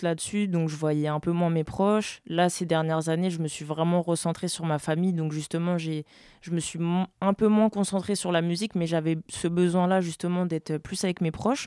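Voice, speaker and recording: A woman talks at a moderate pace in a fairly low, dark, mellow voice. Her intonation is monotone and flat. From France. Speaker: pianist and music producer. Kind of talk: casual interview.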